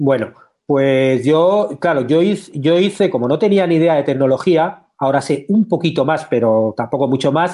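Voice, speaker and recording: A man's dark, mellow tone, fairly slow, with ordinary pitch variation and very even loudness. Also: fairly high pitch for a man. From Spain. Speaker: screenwriter and teacher. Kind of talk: interview.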